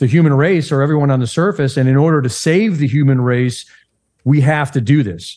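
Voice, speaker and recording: With a plain, everyday voice, a man speaks at a fairly high pitch and moderate pace, with ordinary pitch variation and a quiet background. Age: 60s. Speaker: investigative journalist. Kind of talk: conspiracy podcast interview. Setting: remote call.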